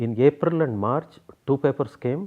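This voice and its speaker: Speaking in a Kannada accent, a man uses lively intonation at a moderate pace. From South India. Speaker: biochemistry professor. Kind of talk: interview.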